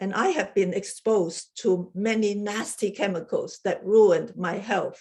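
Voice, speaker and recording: A woman speaks with a strong Chinese accent. Her pace is fairly slow. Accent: heavy Chinese. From Hong Kong. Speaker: research chemist giving a club speech. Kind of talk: prepared humorous speech.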